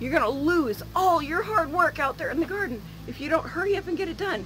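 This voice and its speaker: There is light background noise. A woman talks at a moderate pace with a high pitch. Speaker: home canning vlogger. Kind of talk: casual vlog chat. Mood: earnest, occasionally laughing. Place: street. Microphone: phone near.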